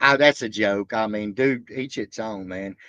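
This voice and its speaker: A man with a Southern accent, fairly low in pitch and bright, sharp in tone, in a dry, close sound with no echo against a quiet background. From Alabama. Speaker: reaction livestreamer. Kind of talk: casual livestream chat. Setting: livestream.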